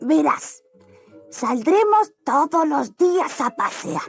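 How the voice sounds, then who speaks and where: Over faint background music, a raspy, high-pitched put-on character voice speaks very slowly. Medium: read story.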